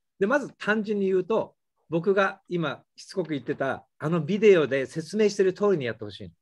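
A man talks with lively intonation, the background quiet. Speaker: English teacher. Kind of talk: lecture. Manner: animated. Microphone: video call.

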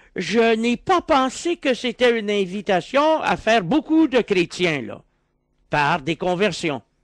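A man's high-pitched voice with a Quebec accent, very slow and with very wide pitch swings, in a dry sound with no echo and a quiet background. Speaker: philosopher; interview guest. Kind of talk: radio interview. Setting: radio studio. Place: studio. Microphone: studio mic.

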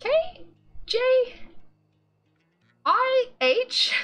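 A squeaky, put-on character voice. The pitch sits extremely high.

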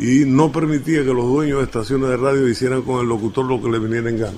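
A man with an eastern Cuban accent talks at a fairly quick pace and medium pitch, with fairly even intonation. There is noticeable background noise. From Cuba, La Maya (Oriente). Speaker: radio announcer. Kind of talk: interview answer.

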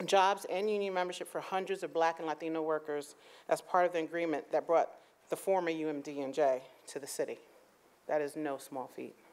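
A woman speaks at a moderate pace in an ordinary speaking voice. Her pitch is fairly low and her intonation fairly even. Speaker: speaker. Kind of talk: formal speaker introduction. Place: hall. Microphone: podium.

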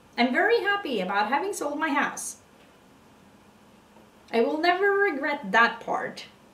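A high-pitched woman's voice with audible room echo. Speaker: puzzle vlogger. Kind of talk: casual vlog chat. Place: home room. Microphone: camera far.

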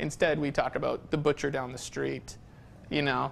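A man talks at a moderate pace with a medium pitch. His voice has vocal fry and little pitch movement.

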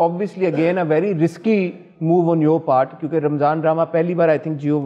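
The background is quiet. A man speaks at a high pitch with ordinary pitch variation. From Pakistan. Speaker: talk show host. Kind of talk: celebrity interview. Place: studio. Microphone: lapel.

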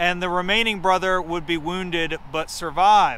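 A high-pitched man's voice with a dry sound and no echo, over light background noise. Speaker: heritage organization presenter. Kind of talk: guided heritage tour presentation. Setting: outdoors on location. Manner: heavy 'um' and 'uh' fillers. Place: open country. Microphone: phone near.

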